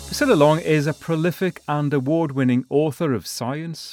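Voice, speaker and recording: Ordinary pitch variation and a moderate pace mark this man's delivery in an unremarkable speaking voice. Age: 60s. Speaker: podcast host.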